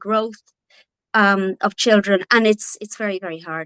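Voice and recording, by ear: With a northwest Irish accent, a woman speaks at a medium pitch in a clear, smooth, fairly bright tone, the sound dry and close with no echo. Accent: Irish, from the north-west.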